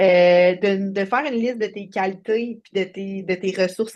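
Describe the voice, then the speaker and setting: A woman speaks with a Quebec accent at medium pitch and fairly even intonation. The background is quiet. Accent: Québécois French. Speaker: life coach. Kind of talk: interview.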